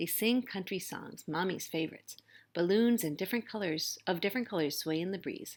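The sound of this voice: The words come through in an unforced reading voice.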